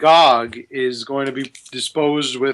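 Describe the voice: Fairly even intonation in a plain read-aloud passage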